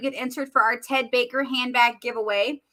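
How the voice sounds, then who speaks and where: A woman's raised, projected voice with an American accent and a bright, sharp tone. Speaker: makeup seller doing live demo. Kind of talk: live product demo. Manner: casual, chatty.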